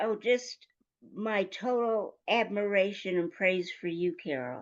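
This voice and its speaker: A woman speaks in an American accent at a medium pitch. Her pace is very slow and her intonation lively. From US, Denver, Colorado. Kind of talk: casual interview chat. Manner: animated.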